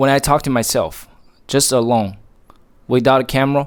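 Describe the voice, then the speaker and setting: This is a man speaking with a Chinese accent. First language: Mandarin Chinese. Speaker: motivational vlogger. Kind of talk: motivational monologue. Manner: slow.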